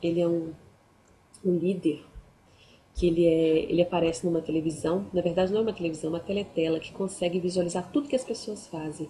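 The voice moves at a very fast pace with a dark, mellow tone. It is somewhat breathy, with ordinary pitch variation. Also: woman, fairly low pitch for a woman. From Brazil. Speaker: book youtuber. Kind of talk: book review vlog. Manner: halting. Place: home room. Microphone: webcam.

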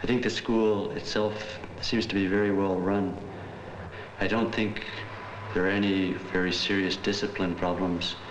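Noticeable background noise sits behind a man who speaks at a moderate pace with long, frequent pauses. His fairly low pitch stays monotone and flat, and his loudness is very even. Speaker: volunteer science teacher. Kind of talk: documentary narration, interview-style reflection.

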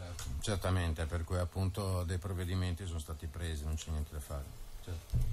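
Against noticeable background noise, a man with a very deep, low pitch talks fairly quickly in a monotone, flat intonation. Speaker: radio host. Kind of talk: radio interview. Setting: radio studio. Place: studio. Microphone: studio mic.

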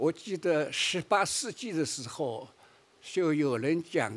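A man's fairly high-pitched voice at a very slow pace. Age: 80s+. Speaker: charity founder and leader. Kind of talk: award acceptance speech. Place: stage. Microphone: podium.

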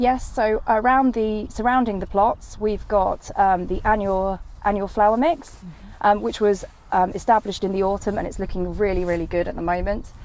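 Here is a woman with an unremarkable speaking voice at medium pitch and ordinary pitch variation. Her pace is moderate, and the sound is dry with no echo. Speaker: agronomy company specialist. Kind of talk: interview. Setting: outdoors.

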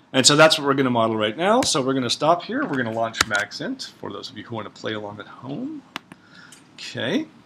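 A man talking fairly quickly with big swings in loudness amid noticeable background noise. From Oklahoma. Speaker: ecology researcher teaching a workshop; workshop instructor. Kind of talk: workshop lecture. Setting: classroom with audience. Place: classroom.

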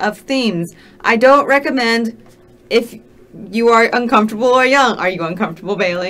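Here someone is reading aloud in a natural voice.

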